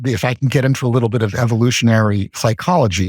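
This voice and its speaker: A somewhat breathy male voice with ordinary pitch variation, a dry, close sound with no echo, and a very clean recording with a silent background. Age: 70s. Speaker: financial theorist and author. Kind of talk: podcast interview. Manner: halting, frequent repetitions and fillers.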